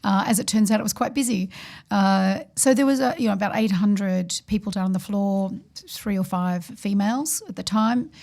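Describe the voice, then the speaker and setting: A woman with an Australian accent talks at a very fast pace with a medium pitch and ordinary pitch variation. Her tone is dark, mellow and somewhat breathy. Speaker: financial services executive. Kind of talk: podcast discussion.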